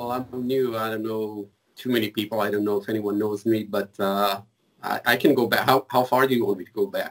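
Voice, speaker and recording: With an Israeli accent, a man speaks fairly quickly in a fairly low, monotone voice with flat intonation. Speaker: mobile forensics engineer. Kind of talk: casual interview.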